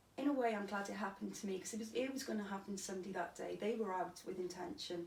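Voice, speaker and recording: A woman talks very fast in a Cardiff accent. Her voice is somewhat breathy, with audible room echo. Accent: Welsh (Cardiff). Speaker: stabbing survivor. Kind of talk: interview testimony.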